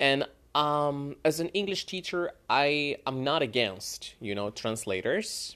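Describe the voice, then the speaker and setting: This voice, in a Spanish accent, moves at a fairly slow pace with lively intonation, on a very clean recording with a silent background. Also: man. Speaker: English teacher; podcast host. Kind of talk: casual monologue. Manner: halting, many fillers.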